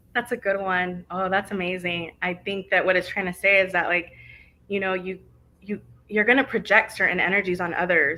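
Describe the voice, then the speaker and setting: A woman's bright, sharp tone at medium pitch, with fairly even intonation and a fairly quick pace. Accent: Spanish. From Arizona, US (early childhood California). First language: Spanish. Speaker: guest speaker on leadership. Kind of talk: interview Q&A.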